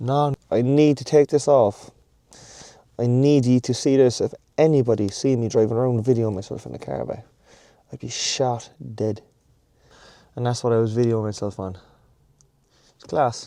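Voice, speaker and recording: Delivered in an Irish accent, the dark, mellow voice keeps fairly even intonation at a moderate pace, with big swings in loudness and long, frequent pauses. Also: man, medium pitch for a man. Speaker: fitness vlogger. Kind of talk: casual vlog chat. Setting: in a car then gym.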